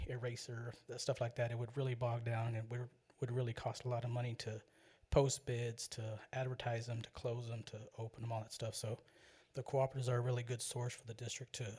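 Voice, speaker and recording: A very fast, monotone male voice, medium in pitch, flat in intonation and somewhat breathy. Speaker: school district purchasing official. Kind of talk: board meeting report. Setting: public board meeting. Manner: casual, halting with fillers.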